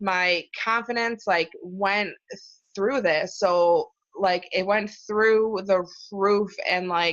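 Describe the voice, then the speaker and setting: A woman's medium-pitched voice with a Chicago accent, very slow pace, fairly even intonation and very even loudness. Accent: US Midwest (Chicago). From Chicago area. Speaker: support group leader. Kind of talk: interview. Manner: halting, with repetitions.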